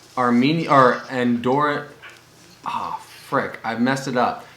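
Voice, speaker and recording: A man speaks in an American accent at a medium pitch with fairly even intonation. Noticeable background noise and audible room echo are present. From United States. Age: 20s. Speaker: podcast co-host. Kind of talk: casual chat. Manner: halting.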